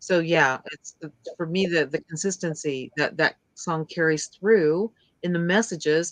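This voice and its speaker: A woman with a plain, everyday voice speaks at a fairly slow pace and fairly low pitch, with fairly even intonation, big swings in loudness and a dry, close sound with no echo. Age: 60s. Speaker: podcast guest, fan. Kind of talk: casual chat.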